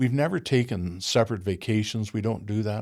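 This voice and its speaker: In a very clean recording with a silent background, a man with an Ontario accent speaks at a fairly quick pace and medium pitch. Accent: Canadian (Ontario). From Ontario, Canada. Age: 70s. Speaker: retired truck driver. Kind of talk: casual interview chat. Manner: halting, repeats words.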